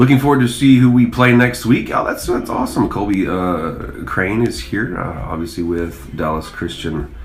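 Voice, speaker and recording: A man with an American accent speaks at medium pitch and a moderate pace, with lively intonation and hardly any pauses. Noticeable background noise and audible room echo are present. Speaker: school sports coach and livestream commentator. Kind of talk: sports livestream commentary. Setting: press box at a football stadium. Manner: mellow.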